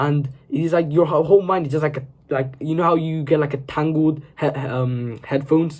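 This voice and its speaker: A man's voice, fairly high in pitch, comes across as somewhat breathy. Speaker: self-improvement video creator. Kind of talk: motivational talk to camera. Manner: fast; casual, filler-heavy.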